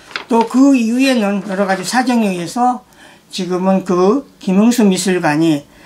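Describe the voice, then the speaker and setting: Over light background noise, a man with a high pitch talks at a fairly slow pace with ordinary pitch variation. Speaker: art archive host. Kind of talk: commentary. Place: office.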